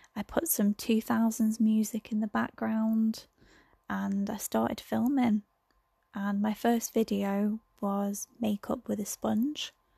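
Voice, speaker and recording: In a very clean recording with a silent background, a somewhat breathy voice with a dark, mellow tone speaks at a very slow pace with fairly even intonation and a dry, close sound with no echo. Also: woman, fairly high pitch for a woman. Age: 20s. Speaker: podcaster. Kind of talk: casual monologue. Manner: hesitant, many fillers.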